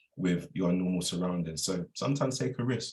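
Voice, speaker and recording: Very deep, low male pitch with ordinary pitch variation at a moderate pace. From South East London, England. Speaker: hospitality professional and wellbeing business owner. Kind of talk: inspirational talk. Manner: casual, informal.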